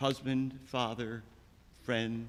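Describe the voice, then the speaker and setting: A man with an American accent and medium pitch, vocal fry, a very slow pace and audible room echo. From Chicago. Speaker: eulogist, friend of the deceased. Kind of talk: eulogy. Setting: church memorial service.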